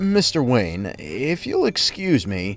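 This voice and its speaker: A man's put-on character voice at medium pitch and a fairly slow pace, with clear music in the background. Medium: read story. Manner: strained, anxious.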